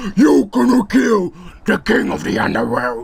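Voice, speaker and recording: A man growls in a high-pitched, put-on character voice at a moderate pace. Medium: read story. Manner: imperious.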